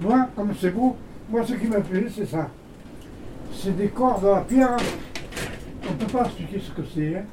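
A man with a high pitch speaks at a fairly slow pace, pausing long and often. His pitch varies in an ordinary way, and there is noticeable background noise. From Hautes-Alpes, France. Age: 90s. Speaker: retired shepherd. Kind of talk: casual chat. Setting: indoors in a cabin.

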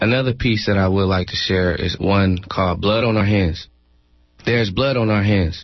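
A plain, everyday voice from a man with an American accent, fairly low in pitch, at a moderate pace, with very even loudness and fairly even intonation. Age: 20s. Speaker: poet. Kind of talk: spoken word.

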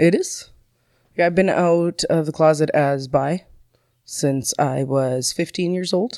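This woman has a normal speaking voice, fairly low in pitch, with very even loudness, ordinary pitch variation and a fairly slow pace. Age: 30s. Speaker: person in recovery. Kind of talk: testimony. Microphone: far from the microphone.

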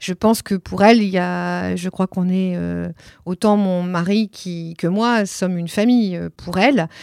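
A woman's medium-pitched voice, with a dry, close sound with no echo, on a very clean recording with a silent background. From France, Nantes. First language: Italian (speaking French). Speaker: theatre director. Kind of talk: interview. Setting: office. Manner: hesitant, many fillers.

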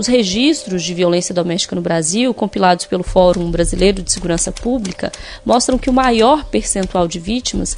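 With noticeable background noise behind her, a woman speaks at a moderate pace with lively intonation. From Minas Gerais interior, Brazil. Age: 30s. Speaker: podcast host. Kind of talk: scripted narration.

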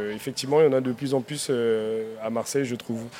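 A man is speaking at a medium pitch. His intonation stays fairly even. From Africa, came to France at 9. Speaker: chef. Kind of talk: live radio panel discussion. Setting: outdoor live broadcast with audience. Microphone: held too far from the mic.

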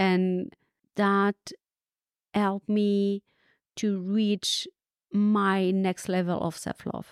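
In a French accent, a woman speaks at a very slow pace and medium pitch, recorded very cleanly against a silent background with a dry, close sound and no echo. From France. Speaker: leadership coach. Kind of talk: interview conversation. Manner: energetic, laughs often.

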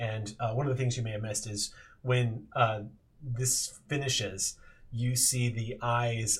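An unforced reading voice, intonation fairly even

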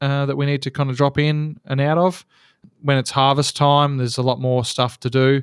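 With an Australian accent, a man speaks at a moderate pace in a fairly high pitch and a monotone, flat intonation. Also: very clean recording, silent background. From Australia, Geelong, Victoria. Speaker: seaplane pilot. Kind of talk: interview.

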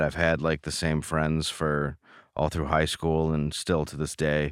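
With a Midwestern American accent, a man talks at a moderate pace on a very clean recording with a silent background. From Michigan, Detroit area. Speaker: comedian. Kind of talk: interview.

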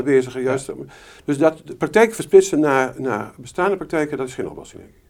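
The speaker has an unremarkable speaking voice and a fairly quick pace. Pitch variation is ordinary. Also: man. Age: 60s. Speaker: retired family doctor. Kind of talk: interview. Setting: doctor's practice.

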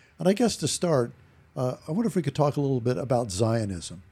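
Very wide pitch swings at a fairly quick pace, with a somewhat breathy, dark, mellow tone. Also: man. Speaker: podcast host, retired professor. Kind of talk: podcast interview.

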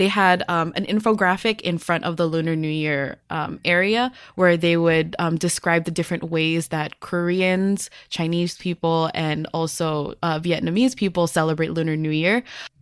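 At a moderate pace and with hardly any pauses, a woman with an unremarkable speaking voice talks at a fairly low pitch with fairly even intonation. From US, Filipino-American. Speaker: educator and podcast co-host. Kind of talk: casual chat.

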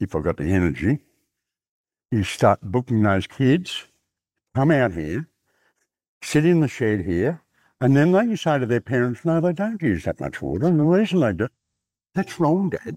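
A man with a rural Australian accent talks at a moderate pace with very wide pitch swings and long, frequent pauses, in a very clean recording with a silent background and a dry, close sound with no echo. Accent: broad rural Australian. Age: 70s. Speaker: cotton farmer. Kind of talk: casual chat. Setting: outdoors.

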